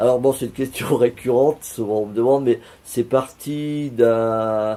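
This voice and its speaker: A man with a dark, mellow tone speaks at a fairly slow pace with fairly even intonation. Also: medium pitch for a man. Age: 60s. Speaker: painter. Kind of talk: interview. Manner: halting.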